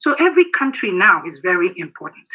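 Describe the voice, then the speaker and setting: This woman has a Nigerian accent. Her intonation is lively. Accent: Nigerian Igbo English. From Nigeria, Igbo southeast. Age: 60s. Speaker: military veteran. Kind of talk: political speech.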